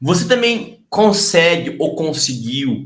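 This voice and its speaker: Fairly high-pitched and bright, sharp in tone, a man speaks very slowly with lively intonation amid audible room echo. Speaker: sales trainer and YouTuber. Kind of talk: casual interview chat.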